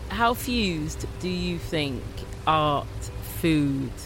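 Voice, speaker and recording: A woman talks at a very slow pace amid noticeable background noise. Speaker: podcast host. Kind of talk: scripted intro and interview.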